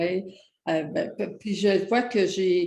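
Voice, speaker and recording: A woman speaks in a Quebec accent at a very slow pace. Her tone is dark and mellow. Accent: Québécois French. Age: 80s+. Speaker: personal development author. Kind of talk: interview answer.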